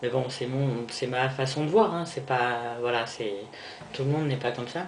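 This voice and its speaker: In a room with audible echo and noticeable background noise, a man of medium pitch speaks at a fairly slow pace. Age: 20s. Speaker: vlogger. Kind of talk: personal video diary. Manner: halting.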